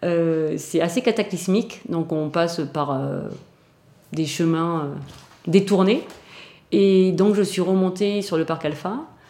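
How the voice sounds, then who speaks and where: Speaking at a very slow pace with long, frequent pauses, a woman has a fairly low pitch, a dark, mellow tone and ordinary pitch variation. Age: 50s. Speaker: veterinarian. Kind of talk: personal testimony interview.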